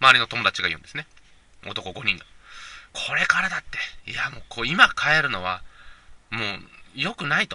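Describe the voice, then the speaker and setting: A man talks at a fairly quick pace but with long, frequent pauses and big swings in loudness. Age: 20s. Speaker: podcast host. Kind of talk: casual solo monologue. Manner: hesitant, many fillers.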